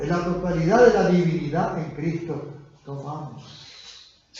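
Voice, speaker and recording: A man's high voice with ordinary pitch variation, noticeable background noise and audible room echo. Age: 80s+. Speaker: pastor. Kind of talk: sermon. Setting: church.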